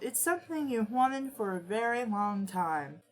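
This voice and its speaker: A woman puts on a character voice, pitched fairly high. Her pitch swings very widely at a moderate pace. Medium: read story. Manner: teasing, withholding.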